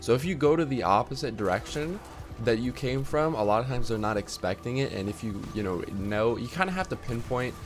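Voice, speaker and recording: This man talks fairly quickly. Noticeable noise fills the background. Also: medium pitch for a man, lively intonation. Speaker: gaming youtuber. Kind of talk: tutorial. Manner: casual, filler-heavy.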